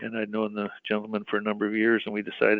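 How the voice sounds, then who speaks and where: Very fast and medium in pitch, a man talks with a Canadian accent. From Western Canada (British Columbia). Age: 60s. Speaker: mining company executive. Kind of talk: interview. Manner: conversational, with frequent fillers and restarts.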